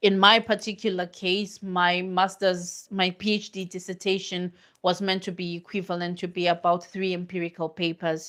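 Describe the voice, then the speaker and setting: A non-native accent comes through at a moderate pace, the intonation monotone and flat, in a very clean recording with a silent background. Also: woman, medium pitch for a woman. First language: not English. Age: middle-aged. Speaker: academic researcher. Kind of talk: live stream Q&A talk.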